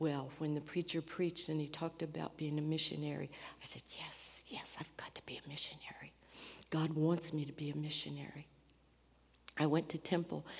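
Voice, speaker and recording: A woman with an American accent talks at a fairly quick pace in a very deep, low pitch, with vocal fry. Her intonation is monotone and flat, while her loudness swings widely. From US Midwest, rural. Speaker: missionary. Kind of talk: testimony in church service. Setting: church.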